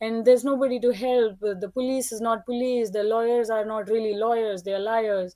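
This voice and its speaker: In a non-native accent, a woman speaks at a fairly quick pace with hardly any pauses, her fairly high pitch set in a dark, mellow tone. Her intonation is monotone and flat, on a very clean recording with a silent background. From India. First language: not English. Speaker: participant in spiritual discussion. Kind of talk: personal testimony.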